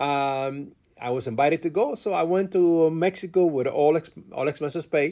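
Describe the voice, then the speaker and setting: Here a man talks at a moderate pace. His pitch is fairly high, with ordinary pitch variation. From Cuba. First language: Spanish. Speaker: radio host and event producer. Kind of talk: interview. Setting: radio studio. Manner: halting, with repeated words and fillers.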